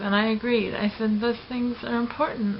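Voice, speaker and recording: Against noticeable background noise, a woman with a General American accent speaks at a fairly slow pace and a fairly high pitch. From Los Angeles. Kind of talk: personal vlog talk to camera.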